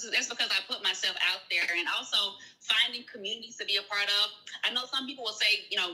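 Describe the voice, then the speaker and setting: This woman talks very fast with a Southern US accent and a fairly high pitch. Noticeable background noise runs behind her. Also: ordinary pitch variation. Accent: Southern US, sounds country. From US South. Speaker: virtual assistant and grant writer. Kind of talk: live-stream interview. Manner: casual, conversational.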